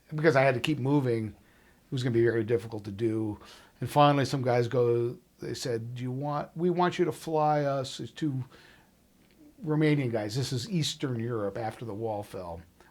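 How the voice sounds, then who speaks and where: At a moderate pace, a man talks in an ordinary speaking voice of medium pitch with ordinary pitch variation. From Chicago suburbs, Illinois. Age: 60s. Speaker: musician and recording engineer. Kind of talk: oral history interview. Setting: recording studio.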